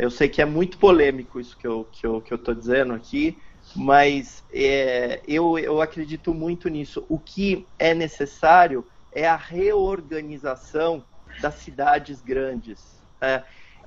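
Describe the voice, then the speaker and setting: A man speaks at a fairly slow pace. His pitch is fairly high for a man. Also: ordinary pitch variation. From São Paulo, Santo Amaro. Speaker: environmental NGO member. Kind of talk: online panel discussion. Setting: video call. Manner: halting, many repetitions.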